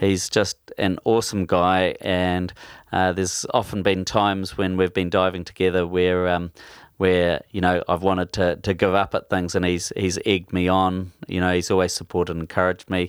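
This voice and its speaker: On a very clean recording with a silent background, a man with a New Zealand accent speaks at a moderate pace in a very deep, low pitch with monotone, flat intonation. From New Zealand, Taranaki. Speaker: spearfisherman. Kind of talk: casual interview. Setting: home man cave. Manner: halting.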